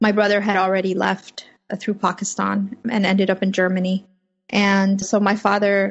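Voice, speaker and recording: A woman's voice, medium in pitch, somewhat breathy, flat and monotone, at a moderate pace with very even loudness. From Afghanistan, then California (Fremont). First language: Farsi (Dari/Persian). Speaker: freelance journalist. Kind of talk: interview. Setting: home office.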